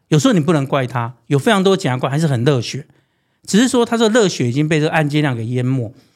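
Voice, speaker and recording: A man at fairly high pitch, very fast and with very wide pitch swings, in a very clean recording with a silent background. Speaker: prosecutor turned city official and political candidate. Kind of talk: interview.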